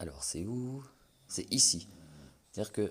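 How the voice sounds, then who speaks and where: Soft-spoken and very slow, the voice has lively intonation on a very clean recording with a silent background. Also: man. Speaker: gaming YouTuber. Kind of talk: game presentation. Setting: at home at night. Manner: soft-spoken, talking quietly; casual, hesitant with many fillers.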